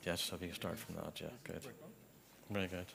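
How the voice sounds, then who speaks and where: A man speaks in a Belfast accent at a fairly quick pace. His tone is bright and sharp. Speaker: architect. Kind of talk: memorial conference talk.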